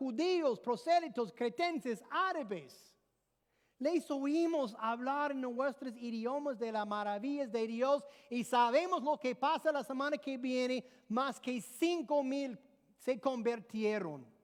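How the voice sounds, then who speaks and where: With an English accent, a woman speaks very slowly in a high pitch, her intonation lively. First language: English (speaking Spanish). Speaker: pastor. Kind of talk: sermon.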